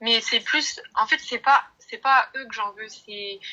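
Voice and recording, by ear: Her voice has a bright, sharp tone and fairly high pitch. The woman speaks at a moderate pace. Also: ordinary pitch variation.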